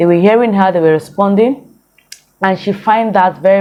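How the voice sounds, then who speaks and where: Using fairly even intonation, a woman at medium pitch speaks with a Nigerian accent. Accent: Nigerian Igbo English. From Nigeria, Igbo from Imo State. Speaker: vlogger. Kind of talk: casual vlog commentary.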